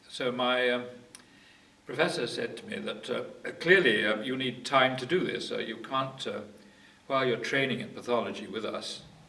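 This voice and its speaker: With audible room echo and noticeable background noise in the recording, this man keeps a moderate pace. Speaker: retired medical geneticist. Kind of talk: oral history interview. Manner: halting, many fillers.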